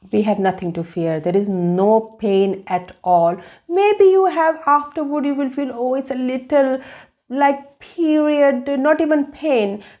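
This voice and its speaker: A woman with a non-native accent speaks at a fairly slow pace, her high voice carrying a dark, mellow tone. Her pitch swings very widely against a quiet background. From India, Delhi. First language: Hindi. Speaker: vlogger. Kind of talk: personal vlog. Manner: halting.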